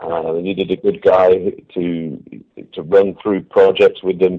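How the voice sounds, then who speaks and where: A man speaks with a British accent. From England. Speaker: company CEO, former military. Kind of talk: radio interview. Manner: hesitant, many fillers.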